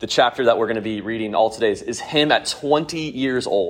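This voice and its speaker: A man with a medium-pitched voice talks at a moderate pace with lively intonation in an ordinary speaking voice, recorded very cleanly against a silent background. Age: 30s. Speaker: Bible study teacher. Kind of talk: Bible study lesson.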